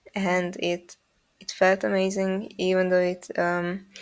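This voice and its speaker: A woman speaks at medium pitch. Her pace is fairly slow. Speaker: animator. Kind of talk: casual chat. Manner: monotone; halting, many fillers.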